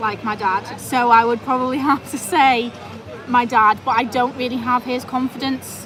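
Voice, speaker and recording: Loud and high-pitched, a woman talks at a fairly slow pace over noticeable background noise. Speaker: travel vlogger; vet nurse. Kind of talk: live stream chat. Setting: restaurant, live stream.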